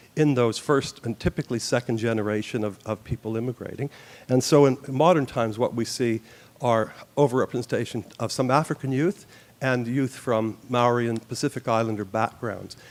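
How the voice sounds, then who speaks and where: With a Canadian accent, a man speaks in an unremarkable speaking voice at a medium pitch. His pace is fairly quick, and his intonation fairly even. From Canada. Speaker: youth justice expert. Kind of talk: forum presentation.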